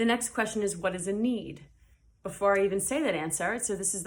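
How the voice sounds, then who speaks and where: This woman has a normal speaking voice at medium pitch. Her pitch varies in an ordinary way. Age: adult, parent. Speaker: high school teacher. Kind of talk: recorded lesson. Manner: casual, many fillers.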